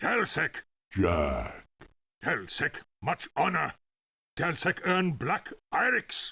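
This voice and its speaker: A man performs in a put-on character voice. He goes at a very slow pace, with long, frequent pauses. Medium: video game. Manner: clipped broken speech.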